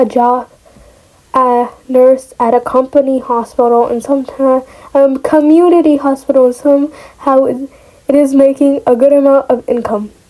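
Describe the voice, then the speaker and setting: A woman with a non-native accent and a high voice speaks at a moderate pace with monotone, flat intonation. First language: not English. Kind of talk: casual reading of online story with reactions.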